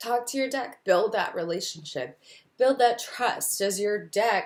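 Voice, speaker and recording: A woman's fairly high voice with an American accent. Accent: Texan accent slips through at times. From Texas. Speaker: tarot reader. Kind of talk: casual tutorial video. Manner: casual, with frequent 'um' fillers.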